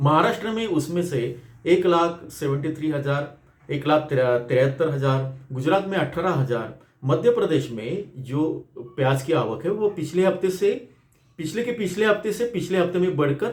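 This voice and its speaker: A man talks with fairly high pitch and lively intonation. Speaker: agricultural journalist. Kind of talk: market report. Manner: halting, many fillers.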